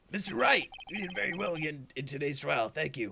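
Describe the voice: A raspy, put-on character voice delivered at a fairly quick pace. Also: man, fairly high pitch for a man.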